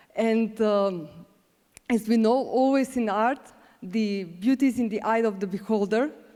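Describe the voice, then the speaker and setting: A woman's fairly high voice with a dark, mellow tone, a Macedonian accent, ordinary pitch variation and a fairly slow pace. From North Macedonia. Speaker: award presenter, visual artist. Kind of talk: award ceremony speech.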